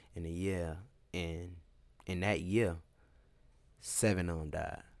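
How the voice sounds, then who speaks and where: Speaking with an American accent, a man with a very deep, low pitch holds a monotone, flat intonation on a very clean recording with a silent background. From US South, West Tampa, Florida. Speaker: podcaster guest. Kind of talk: casual interview.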